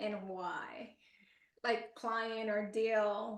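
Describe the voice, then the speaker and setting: A woman with a Spanish accent speaks in a fairly high pitch with fairly even intonation. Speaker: podcast host. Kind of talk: casual interview chat.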